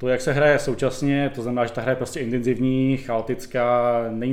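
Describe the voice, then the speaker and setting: Talking at a very fast pace, a man keeps his medium-pitched voice monotone and flat. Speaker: podcast co-host. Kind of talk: casual chat about board games.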